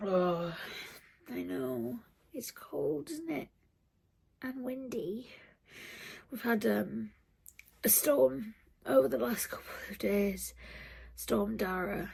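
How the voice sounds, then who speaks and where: In a British accent, someone speaks at a very slow pace with long, frequent pauses. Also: woman. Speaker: vlogger. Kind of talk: casual vlog monologue. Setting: at home, early morning.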